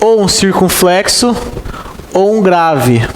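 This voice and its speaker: A man's high-pitched voice with a Brazilian accent, audible room echo and noticeable background noise. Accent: countryside Brazilian. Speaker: exam-prep Portuguese teacher. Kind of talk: lecture.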